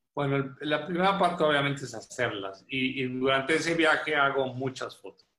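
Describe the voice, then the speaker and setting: With an ordinary speaking voice, a man at a fairly high pitch speaks at a moderate pace with hardly any pauses, ordinary pitch variation and big swings in loudness. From northern Mexico (Coahuila). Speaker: photographer and visual artist. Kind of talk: radio interview.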